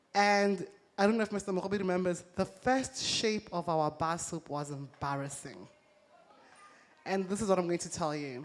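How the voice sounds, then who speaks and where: A woman with a plain, everyday voice, medium in pitch, ordinary pitch variation, moderate pace. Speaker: entrepreneur. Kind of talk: talk to a live audience.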